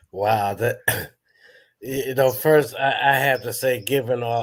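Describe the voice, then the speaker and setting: A man talks at a medium pitch, somewhat breathy, keeping his intonation fairly even. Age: 60s. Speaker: elder on a spiritual counseling panel. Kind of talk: panel Q&A discussion. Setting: live broadcast.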